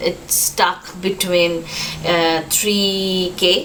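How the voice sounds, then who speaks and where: With a Bengali accent, a woman speaks at a very slow pace in a medium pitch. Noticeable background noise and audible room echo fill the recording. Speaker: vlogger. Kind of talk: casual vlog talk to camera. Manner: hesitant, many fillers.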